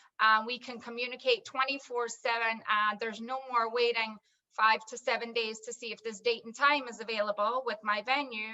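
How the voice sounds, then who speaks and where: In a Scottish accent, a woman with a fairly high pitch and a bright, sharp tone speaks in a monotone, flat way, her loudness swinging widely. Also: moderate pace. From Scotland, Edinburgh. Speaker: wedding tech business owner. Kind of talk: video call panel discussion.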